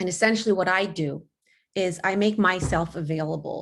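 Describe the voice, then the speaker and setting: At a moderate pace, a woman speaks with ordinary pitch variation. Her pitch is medium. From Los Angeles, US. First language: not English. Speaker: college resource counselor. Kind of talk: panel presentation.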